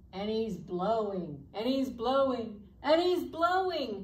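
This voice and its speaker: A woman speaks at a very slow pace, with audible room echo. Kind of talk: children's program presentation. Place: classroom. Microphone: camera far.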